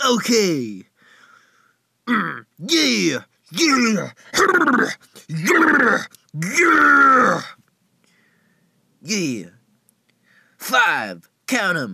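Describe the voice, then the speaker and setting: A man puts on a cartoonish character voice, pitched high. He speaks very slowly, with long, frequent pauses. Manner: casual, excitable.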